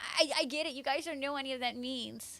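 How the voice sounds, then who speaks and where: Over music in the background, a raised, projected voice with an American accent moves with ordinary pitch variation. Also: woman. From Florida. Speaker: gaming streamer. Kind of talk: casual live stream chat. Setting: live stream. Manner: fast; halting, many fillers and restarts.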